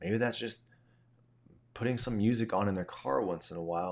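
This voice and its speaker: On a very clean recording with a silent background, a man uses a normal speaking voice, fairly low in pitch with ordinary pitch variation. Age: 30s. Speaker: faith podcast host. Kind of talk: casual solo monologue. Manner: conversational with fillers.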